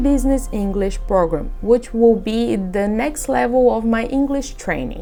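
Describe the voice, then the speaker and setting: Music plays in the background as a woman speaks at a fairly high pitch. Audible room echo surrounds her voice. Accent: Portuguese. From Brazil. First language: Portuguese. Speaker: international student. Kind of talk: testimony.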